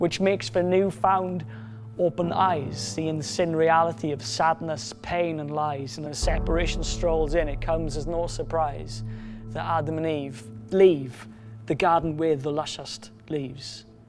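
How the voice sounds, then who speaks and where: Music plays behind a man speaking at a fairly slow pace. His pitch is fairly high, with ordinary variation. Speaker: spoken word poet. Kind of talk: spoken word poetry performance, rhythmic rhyming verse.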